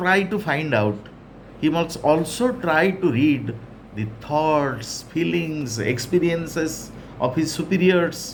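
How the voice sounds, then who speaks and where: In audible room echo, a man speaks very slowly with an Odisha accent and lively intonation. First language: Odia. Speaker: English teacher. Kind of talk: lecture.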